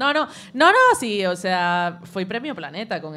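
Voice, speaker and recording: On a very clean recording with a silent background, a woman speaks with lively intonation. Her tone is bright and sharp. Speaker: show contributor. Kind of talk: culture segment, casual chat. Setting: café with live audience. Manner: fast.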